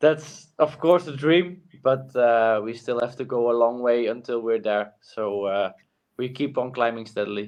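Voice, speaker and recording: A man speaks with a Flemish accent. His pace is fairly slow. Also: medium pitch for a man, ordinary pitch variation. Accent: Flemish Dutch accent in English. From Flanders, Belgium. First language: Dutch. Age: young. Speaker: cyclist. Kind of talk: interview. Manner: halting, many fillers.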